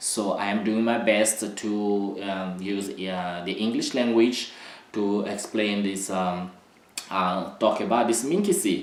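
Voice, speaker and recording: The speaker, with a non-native accent, talks very slowly with fairly even intonation. Audible room echo and noticeable background noise fill the recording. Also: man, fairly low pitch for a man. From Republic of Congo. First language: not English. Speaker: dance artist and choreographer. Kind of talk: educational talk. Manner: halting, many fillers.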